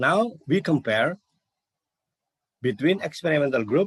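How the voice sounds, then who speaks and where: Somewhat breathy speech from a man with very wide pitch swings, dry and close with no echo. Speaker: university lecturer. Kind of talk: conference presentation. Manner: halting.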